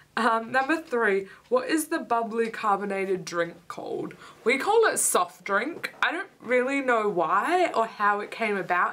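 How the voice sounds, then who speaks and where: A woman speaks at a fairly high pitch and a moderate pace with very wide pitch swings, amid noticeable background noise. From Australia, with childhood years in Denmark and Canada. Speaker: vlogger. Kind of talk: casual vlog chat; reading a word list aloud. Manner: casual, with frequent hesitation fillers.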